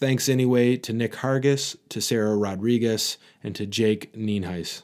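Pitched at a medium level, the man's voice shows ordinary pitch variation. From US Midwest, Michigan. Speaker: podcast host. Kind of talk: casual monologue.

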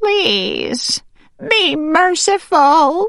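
A put-on character voice sounds female and shaky. Its pitch is extremely high for a woman. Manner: pleading.

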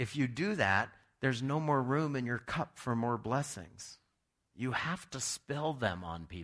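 A man with an unremarkable speaking voice talks at medium pitch. He uses lively intonation at a fairly slow pace. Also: very clean recording, silent background. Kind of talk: sermon; fervent prayer. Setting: church. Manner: earnest, pleading, heartfelt; conversational, warm.

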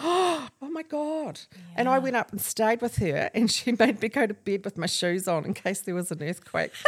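Speaking in a New Zealand accent at a moderate pace, a woman lets her pitch swing very widely. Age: 60s. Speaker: clothing store owner. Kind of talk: casual chat. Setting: family beach house.

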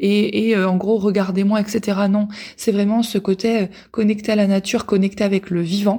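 In a very clean recording with a silent background, a woman speaks in a somewhat breathy, dark, mellow tone with monotone, flat intonation. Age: 30s. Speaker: podcast host. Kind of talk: casual monologue. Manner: hesitant, many fillers.

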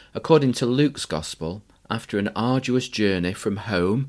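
Speaking with a northern English accent, a man talks at a fairly low pitch and a fairly slow pace. The recording is very clean, with a silent background. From northern England. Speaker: Methodist minister, podcast host. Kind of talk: reflective monologue.

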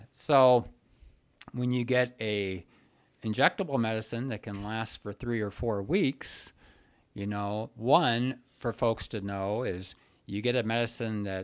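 On a very clean recording with a silent background, a man with a fairly low voice and ordinary pitch variation speaks very slowly. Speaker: psychiatrist podcast host. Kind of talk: casual podcast conversation.

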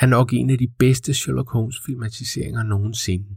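A man speaks with medium pitch and fairly even intonation, sounding somewhat breathy. The recording is very clean, with a silent background. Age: 40s. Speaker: podcast host. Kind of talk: scripted narration.

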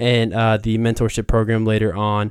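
A man with a Midwestern accent and fairly low pitch speaks at a moderate pace on a very clean recording with a silent background. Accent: General American (Midwest). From Columbus, Ohio. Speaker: diversity, equity and inclusion advocate. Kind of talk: interview conversation. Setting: studio.

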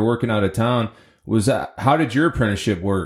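Over a very clean recording with a silent background, a man talks at a fairly quick pace and medium pitch in an unremarkable speaking voice. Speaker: podcast host, ironworker. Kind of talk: interview.

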